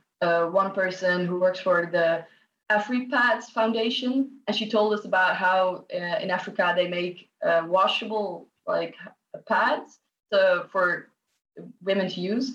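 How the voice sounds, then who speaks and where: A woman with a Dutch accent speaks at a fairly slow pace, her pitch sitting in the middle range and rising and falling in an ordinary way. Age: 20s. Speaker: student. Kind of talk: interview.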